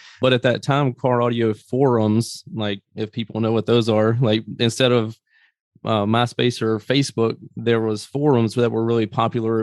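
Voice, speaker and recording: Speaking with a Southern US accent, a man uses a medium pitch and fairly even intonation at a moderate pace. The sound is dry and close, with no echo. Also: quiet background. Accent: Southern US (self-described country accent). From US South, Greenville, Mississippi. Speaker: business owner. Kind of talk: interview.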